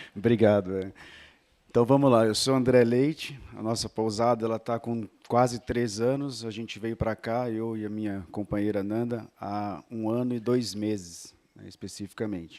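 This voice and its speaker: Here is a man with medium pitch and fairly even intonation. His pace is moderate. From São Paulo state interior, near Minas border. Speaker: inn owner. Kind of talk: business pitch at networking meeting.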